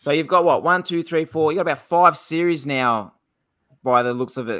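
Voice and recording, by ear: Bright and sharp in tone, the voice comes with an Australian accent. It moves at a moderate pace with ordinary pitch variation. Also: man.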